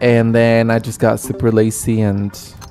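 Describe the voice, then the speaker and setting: Noticeable background noise sits behind a man speaking at a medium pitch in a monotone, flat intonation. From Argentina. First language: Spanish. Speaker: gaming streamer. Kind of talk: live stream chat. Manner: casual, chatty.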